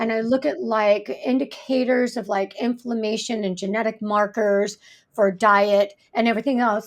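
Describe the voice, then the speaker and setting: Recorded very cleanly against a silent background, a woman speaks at a moderate pace with a fairly high pitch. She has ordinary pitch variation and a plain, everyday voice. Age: 60s. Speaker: fascia therapist. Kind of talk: podcast interview.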